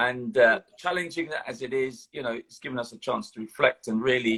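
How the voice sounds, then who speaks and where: A man in a London accent speaks at a moderate pace, the sound dry and close with no echo. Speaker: retired police officer. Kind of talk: interview. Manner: halting.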